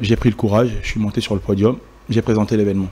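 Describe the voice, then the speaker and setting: With fairly even intonation, a man talks at a fairly quick pace in a fairly low voice. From DR Congo, Kinshasa. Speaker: event host and emcee. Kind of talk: interview. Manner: hesitant.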